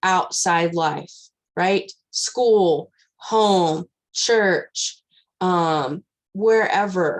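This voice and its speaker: In a quiet background, a woman speaks with a West Texas accent and ordinary pitch variation. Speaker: scout leader trainer. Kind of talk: training presentation. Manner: loud.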